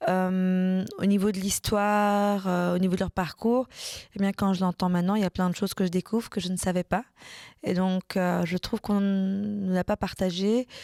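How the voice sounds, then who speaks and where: A woman of medium pitch speaks in a monotone with flat intonation and a dark, mellow tone, the sound dry and close with no echo in a very clean recording against a silent background. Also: moderate pace. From Brussels, Belgium. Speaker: political scientist. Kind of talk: interview testimony. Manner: hesitant, many fillers.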